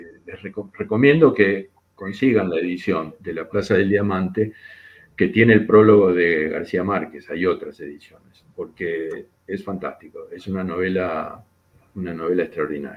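A man speaks at a fairly slow pace with a fairly low pitch and ordinary pitch variation. His loudness swings widely from moment to moment. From Argentina. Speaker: economist and painter. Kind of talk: interview conversation. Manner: halting, with many fillers.

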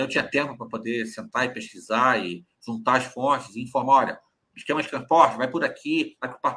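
Speaking at a fairly quick pace, a man has a bright, sharp tone and ordinary pitch variation. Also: medium pitch for a man. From Rio de Janeiro, Brazil (Cascadura, north zone). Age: 40s. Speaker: carnival journalist and commentator. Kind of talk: casual interview chat. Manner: halting, frequent repetitions.

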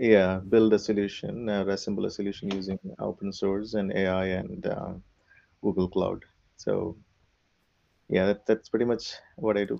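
In a Keralan accent, a man speaks with a fairly low pitch and a dark, mellow tone. His pace is moderate and his intonation fairly even, with long, frequent pauses. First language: Malayalam. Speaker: software architect. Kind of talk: casual interview. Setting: video call.

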